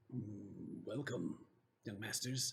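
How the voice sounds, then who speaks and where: This is a put-on character voice. It comes out raspy. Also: man, medium pitch for a man. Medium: actual play. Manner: deferential, formal.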